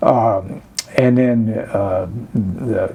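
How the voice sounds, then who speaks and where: A man speaks with an Alabama accent and fairly even intonation. There is audible room echo and noticeable background noise. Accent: Alabama Southern US. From US South, rural Chambers County, Alabama. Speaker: oral history interviewee. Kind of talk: oral history interview. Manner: hesitant, many filler words.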